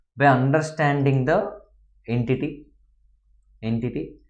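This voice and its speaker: A man speaks at a very slow pace, his pitch fairly high. Room echo is audible. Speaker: accounting lecturer. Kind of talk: lecture.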